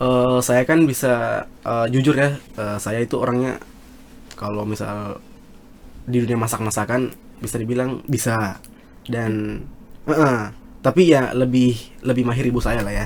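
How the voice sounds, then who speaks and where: Fairly slow, medium-pitched speech from a man with a strong South Sulawesi accent, fairly even intonation and long, frequent pauses. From South Sulawesi, Indonesia. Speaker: university student, student government member. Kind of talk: casual podcast interview. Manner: halting, many fillers.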